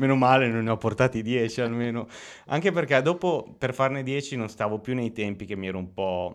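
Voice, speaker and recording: At a fairly quick pace, a plain, everyday voice moves with ordinary pitch variation. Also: man, medium pitch for a man. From Italy, Romagna (Lugo). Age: 30s. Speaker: writer. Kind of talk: interview.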